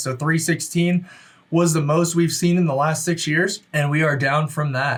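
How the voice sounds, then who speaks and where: A man with fairly high pitch speaks using fairly even intonation. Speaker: real estate agent. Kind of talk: market update video. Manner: fast; casual, conversational.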